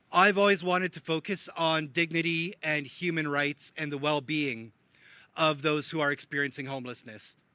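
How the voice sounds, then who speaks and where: A loud man with a Canadian accent speaks at a moderate pace in a fairly high pitch, bright, sharp tone and ordinary pitch variation, in a very clean recording with a silent background. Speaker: homelessness advocate. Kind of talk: public speech.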